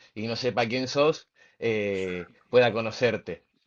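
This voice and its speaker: A man speaks with an Argentine accent at a fairly slow pace. His pitch is medium, with ordinary pitch variation. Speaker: podcast host, former rugby player. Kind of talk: interview. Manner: halting, many fillers.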